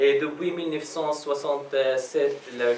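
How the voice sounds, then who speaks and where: With an Arabic accent, a man speaks in fairly even intonation amid audible room echo and noticeable background noise. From Palestine. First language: Arabic (speaking French). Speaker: Arabic language assistant, student activist speaker. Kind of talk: personal testimony talk at an event. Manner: halting, many hesitations.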